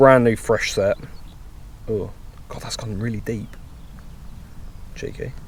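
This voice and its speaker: Big swings in loudness and long, frequent pauses mark a man speaking with a British accent. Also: fairly slow pace. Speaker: motorcycle vlogger. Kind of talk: casual vlog while riding. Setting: outdoors on a motorcycle.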